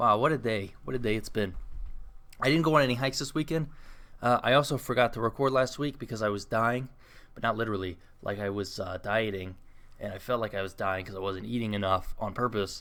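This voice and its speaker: In a very clean recording with a silent background, a man talks very fast in a medium pitch, with a bright, sharp tone and ordinary pitch variation. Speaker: podcast host. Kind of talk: casual solo podcast monologue. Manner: rambling, conversational.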